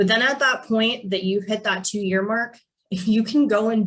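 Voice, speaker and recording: Speaking at medium pitch, a woman with an American accent sounds somewhat breathy, her intonation fairly even. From Pennsylvania, Allegheny National Forest area. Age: 20s. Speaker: financial advisor. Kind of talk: webinar presentation. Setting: video call.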